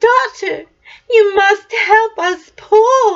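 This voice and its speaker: A put-on character voice sounds squeaky. Its intonation stays fairly even. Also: woman. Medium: read story. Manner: wailing.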